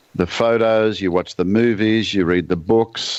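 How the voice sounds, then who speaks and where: A man speaks with an Australian accent at a fairly low pitch. His intonation is fairly even, and his pace fairly quick. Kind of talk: podcast interview.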